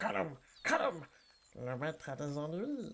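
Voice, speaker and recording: In a put-on character voice, the speaker hisses and moves fairly slowly through very wide pitch swings. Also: man, fairly high pitch for a man. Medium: audio drama. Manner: talks in the plural "we", hissing, wheedling.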